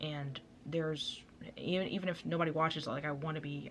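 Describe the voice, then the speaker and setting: Her pitch is very deep and low, and this woman keeps her intonation fairly even. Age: young. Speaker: vlogger. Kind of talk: casual chat. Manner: fast.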